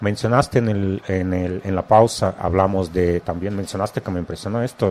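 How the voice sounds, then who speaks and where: Speaking with a very deep, low pitch, a man keeps a moderate pace and fairly even intonation. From Russia. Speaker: radio host. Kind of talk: interview. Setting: studio.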